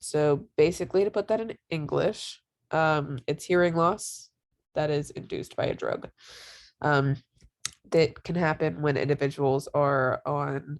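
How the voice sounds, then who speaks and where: Ordinary pitch variation at a fairly slow pace, on a very clean recording with a silent background. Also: woman, very deep, low pitch for a woman. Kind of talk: informal educational presentation. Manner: halting with many fillers.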